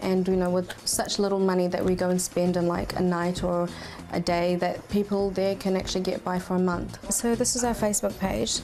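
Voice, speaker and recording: A woman's voice at a fairly quick pace, fairly even in intonation and very even in loudness, over noticeable background noise. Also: medium pitch for a woman. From Kurdistan; refugee camp in Pakistan, then New Zealand. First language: Kurdish. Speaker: charity organiser. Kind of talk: interview. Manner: casual.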